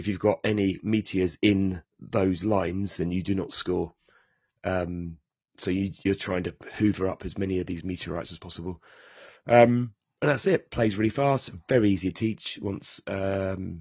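A man with a British accent speaks in a very deep, low pitch. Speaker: board game podcast co-host. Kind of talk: casual chat.

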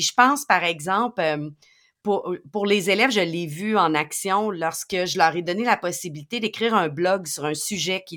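A woman with a Quebec accent, medium pitch, bright and sharp tone, ordinary pitch variation and a moderate pace, on a very clean recording with a silent background. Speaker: educational technology podcast co-host. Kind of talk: educational podcast talk.

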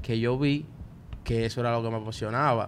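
Spoken at a fairly quick pace in a Dominican accent. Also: man. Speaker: podcast co-host, multimedia student. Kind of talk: casual chat. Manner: animated.

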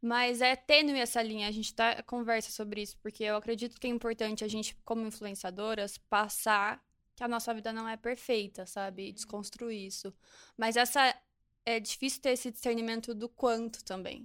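Fairly high-pitched and monotone, with flat intonation, a woman speaks at a moderate pace in a very clean recording with a silent background. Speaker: social media influencer. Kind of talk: casual chat.

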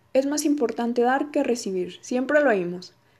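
Pitched high for a woman, her voice carries a dark, mellow tone. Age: 20s. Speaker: podcaster and graduate student. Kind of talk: solo podcast talk.

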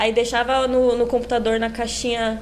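Noticeable background noise and audible room echo around a woman's fairly high-pitched voice. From São Paulo, São Miguel Paulista (east zone periphery). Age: young. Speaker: funk singer. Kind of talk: podcast interview.

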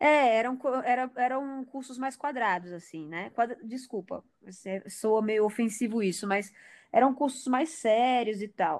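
On a very clean recording with a silent background, a woman speaks at a fairly slow pace with a high pitch, lively intonation and big swings in loudness. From Porto Velho, Rondônia, northern Brazil. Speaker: director of photography. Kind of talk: casual interview.

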